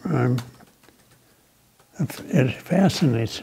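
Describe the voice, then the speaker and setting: Lively in intonation, a man speaks at a fairly high pitch over light background noise. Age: 90s. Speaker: war veteran. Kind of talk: oral history interview. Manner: halting. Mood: reflective, somber memories. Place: office. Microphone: lapel.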